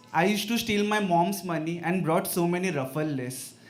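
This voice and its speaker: With an Indian accent, the speaker talks at a fairly slow pace with lively intonation. Room echo can be heard. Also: man. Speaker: open mic poet. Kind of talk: poetry reading. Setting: stage with audience.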